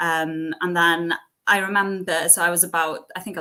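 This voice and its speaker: A woman speaks with a West Wales accent at a fairly low pitch. Her tone is bright and sharp, her intonation monotone and flat. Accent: Welsh (West Wales, Welsh-speaking). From West Wales, near Cardigan. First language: Welsh. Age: 20s. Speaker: entrepreneur, cafe owner. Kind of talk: interview. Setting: online event. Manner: casual, many fillers.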